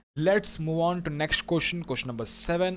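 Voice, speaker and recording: The speaker is a man with a high-pitched voice. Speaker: exam prep instructor. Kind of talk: lecture. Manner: repetitive, emphatic.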